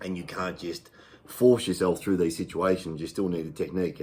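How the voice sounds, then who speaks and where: A man's very deep, low voice with an Australian accent in a very clean recording with a silent background. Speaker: fitness channel host. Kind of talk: casual talk to camera. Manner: hesitant, many fillers.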